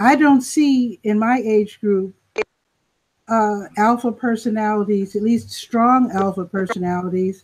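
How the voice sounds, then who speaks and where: Somewhat breathy and fairly high-pitched, a woman speaks at a fairly slow pace with ordinary pitch variation. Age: 60s. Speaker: panelist. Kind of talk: panel discussion.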